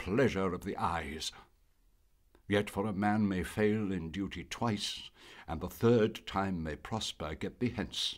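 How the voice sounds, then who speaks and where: Recorded very cleanly with a silent background, a man in a normal speaking voice speaks at a fairly slow pace, fairly low in pitch, with ordinary pitch variation. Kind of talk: poetry reading.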